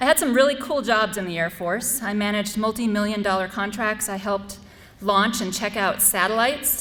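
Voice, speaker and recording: A woman with an American accent talks at a fairly quick pace over noticeable background noise. Her pitch is fairly high with ordinary variation. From US Midwest, North Dakota. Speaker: school board candidate, Air Force veteran. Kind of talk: candidate forum speech. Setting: school forum with student audience.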